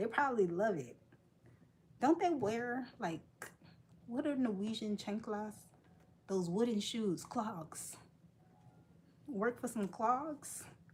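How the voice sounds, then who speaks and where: A woman's somewhat breathy voice at a very slow pace, with lively intonation and long, frequent pauses. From United States. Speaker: crochet live streamer. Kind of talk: casual chat with live chat readers.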